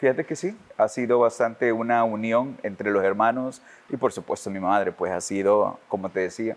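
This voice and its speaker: A man talks at a moderate pace, his medium pitch showing ordinary pitch variation. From El Salvador. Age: 40s. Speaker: politician. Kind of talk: interview. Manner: hesitant, with fillers.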